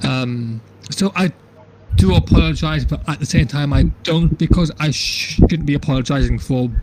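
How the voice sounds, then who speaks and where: Over noticeable background noise, a man speaks at a medium pitch and a moderate pace. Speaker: wrestling podcast co-host. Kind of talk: casual chat. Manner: halting, repeats words, uneven pacing.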